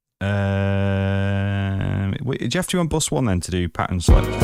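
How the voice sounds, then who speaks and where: On a very clean recording with a silent background, a man with a Lancashire accent speaks in a very deep, low pitch. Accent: northern English (Lancashire). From northern England, Blackpool. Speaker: music producer streaming beat-making. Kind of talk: casual live stream chat. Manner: casual, halting with fillers.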